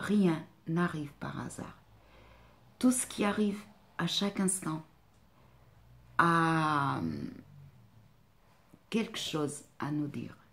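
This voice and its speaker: With a slight non-native accent, a woman speaks at a very slow pace in a fairly low pitch, with ordinary pitch variation and long, frequent pauses. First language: not French (speaking French). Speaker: life coach and therapist. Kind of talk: vlog monologue. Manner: hesitant, many fillers.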